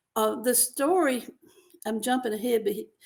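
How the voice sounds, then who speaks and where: Speaking with a Mississippi accent, a woman is heard here. Her pitch sits fairly high. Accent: Southern US (Mississippi). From US South, rural Mississippi. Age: 80s+. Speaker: novelist. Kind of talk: interview.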